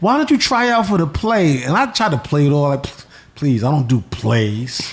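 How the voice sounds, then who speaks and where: A man talks at a moderate pace in a New York accent. His pitch is fairly high and swings very widely. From New York City (Bronx, Queens). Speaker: comedian. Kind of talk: casual chat.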